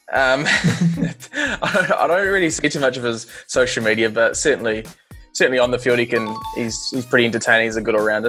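A man speaks at a fairly quick pace. Faint music plays in the background. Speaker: interviewee. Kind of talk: interview answer. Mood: relaxed, amused. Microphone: earbuds.

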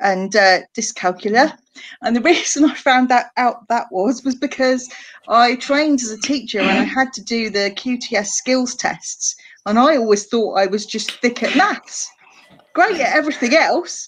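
Over a quiet background, a woman talks at a high pitch and a moderate pace with lively intonation. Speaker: guest. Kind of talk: interview answer. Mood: warm, occasionally laughing. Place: home room. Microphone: video call.

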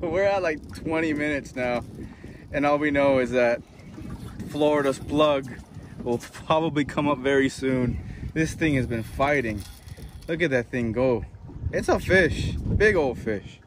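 Amid noticeable background noise, a man speaks fairly slowly with long, frequent pauses and ordinary pitch variation, the sound dry with no echo. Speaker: fishing vlogger. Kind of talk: casual vlog chat. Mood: joking, playful. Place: boat. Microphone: phone near.

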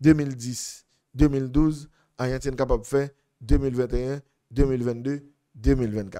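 A man speaks with a Haitian accent. The background is quiet. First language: Haitian Creole (speaking French). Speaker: football analyst. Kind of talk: sports analysis monologue. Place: studio. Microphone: studio mic.

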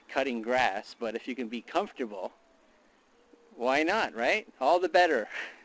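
Lively intonation from a man speaking at a moderate pace. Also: dry sound with no echo. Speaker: product reviewer. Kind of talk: casual vlog chat. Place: garden. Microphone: phone near.

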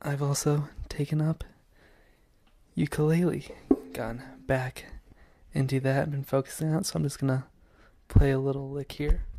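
A man speaks with a somewhat breathy voice at a fairly high pitch. He leaves long pauses often. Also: fairly even intonation, moderate pace. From US West. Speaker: student and amateur filmmaker. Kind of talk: casual video monologue. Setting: home video recording. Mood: playful, mock-formal. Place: home room. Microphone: handheld.

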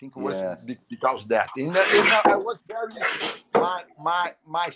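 With a Brazilian accent, a man speaks at a fairly slow pace, his pitch swinging very widely. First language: Portuguese. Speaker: jiu-jitsu master. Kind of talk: casual live interview. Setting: video call. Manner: halting.

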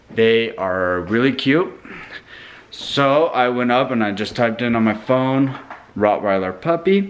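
A man talks at a fairly slow pace. Light background noise sits under his voice. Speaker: family vlogger. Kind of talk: casual vlog chat. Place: kitchen. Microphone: phone near.

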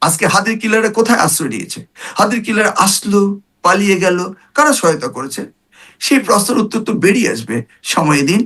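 His intonation is lively and his pitch high for a man. The man's tone is bright and sharp. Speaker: politician, former member of parliament and education minister. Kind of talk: talk show interview.

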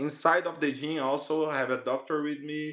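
The background is quiet. A man does the talking. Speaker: interviewee. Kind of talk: interview answer. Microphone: video call.

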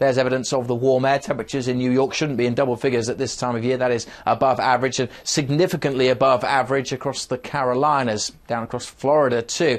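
A man talks at a very fast pace with hardly any pauses. His intonation stays fairly even. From United Kingdom. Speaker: weather forecaster. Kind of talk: TV weather forecast. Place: studio. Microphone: lapel.

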